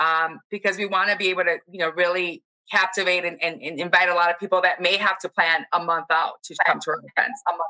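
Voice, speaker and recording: In an American accent, a woman with a fairly low voice talks at a very fast pace with hardly any pauses and fairly even intonation, in a dry, close sound with no echo. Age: 30s. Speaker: running group co-captain. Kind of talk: casual chat.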